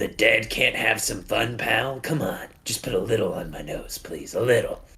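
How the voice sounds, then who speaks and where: A man puts on a raspy character voice. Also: moderate pace. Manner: wheedling, pleading.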